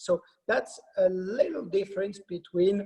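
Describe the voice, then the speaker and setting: A man speaks in a French accent. His pace is very slow. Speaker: wine company sales director. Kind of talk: presentation. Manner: halting, many fillers.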